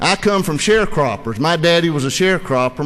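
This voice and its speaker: A high-pitched male voice over noticeable background noise. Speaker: state legislator. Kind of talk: floor speech in legislative debate. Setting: legislative chamber floor. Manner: formal.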